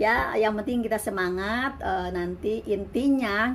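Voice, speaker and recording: Delivered at a fairly slow pace, this is a plain, everyday voice. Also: woman. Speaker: migrant domestic worker and vlogger. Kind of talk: casual vlog monologue.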